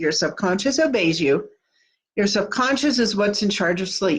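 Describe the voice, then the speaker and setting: A woman speaks at a fairly slow pace with lively intonation over a quiet background. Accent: Kansas. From Kansas. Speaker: manifesting coach. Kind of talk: live stream talk. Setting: live video stream. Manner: casual.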